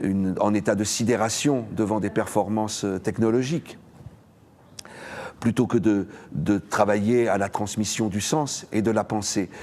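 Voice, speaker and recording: Here a man talks at a very slow pace. His pitch is fairly low and his intonation fairly even. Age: 60s. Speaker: theatre director and political candidate. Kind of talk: campaign statement to camera. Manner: hesitant, with fillers and repetitions.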